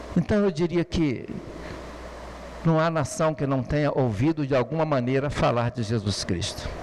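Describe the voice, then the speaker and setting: With lively intonation and very even loudness, a man with a fairly high pitch speaks at a moderate pace, taking long, frequent pauses over noticeable background noise. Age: 70s. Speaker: preacher. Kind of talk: sermon.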